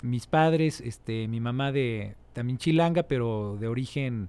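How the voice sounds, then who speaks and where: A man talks at a medium pitch in a normal speaking voice, with ordinary pitch variation. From Mexico City. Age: 40s. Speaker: musician. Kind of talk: interview. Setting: studio.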